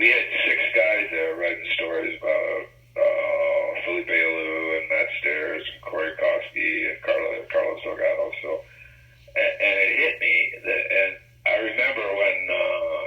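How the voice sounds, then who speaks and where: Mumbling, a man speaks at a fairly slow pace. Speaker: sports journalist. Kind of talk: interview. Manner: halting, mumbling.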